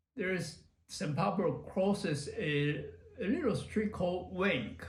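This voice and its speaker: Amid audible room echo, a man speaks at a very slow pace, leaving long, frequent pauses. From Taiwan. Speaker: retired computer professional. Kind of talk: oral history interview. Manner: halting, many fillers.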